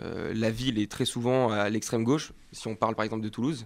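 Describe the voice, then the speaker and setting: On a very clean recording with a silent background, a man speaks in a normal speaking voice at a fairly quick pace, medium in pitch with fairly even intonation. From France, Var (Provence). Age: 20s. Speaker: political youth campaigner. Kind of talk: political interview.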